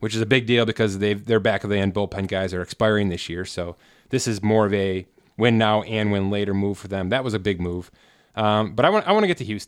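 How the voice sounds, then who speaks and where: Recorded very cleanly with a silent background, a man with a normal speaking voice uses fairly even intonation. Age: 30s. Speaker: sports contracts website founder. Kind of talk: casual chat.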